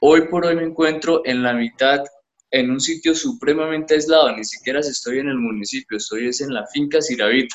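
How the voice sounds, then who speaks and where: A man with a plain, everyday voice speaks at a moderate pace, his fairly high pitch showing ordinary pitch variation. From Colombia, Bucaramanga (Santander). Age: 20s. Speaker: young entrepreneur, panela producer. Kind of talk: interview. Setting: remote call from an isolated rural area.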